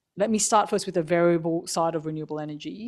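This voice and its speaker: In a very clean recording with a silent background, a woman speaks. Her pitch is fairly low and her intonation fairly even. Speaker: energy agency analyst. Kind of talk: panel discussion. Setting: conference stage with microphone.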